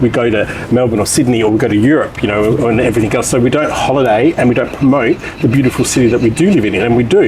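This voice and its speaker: A man of medium pitch speaks at a very fast pace against noticeable background noise. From England, then Western Australia. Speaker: wine and hospitality business owner. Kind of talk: casual interview. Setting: outdoors.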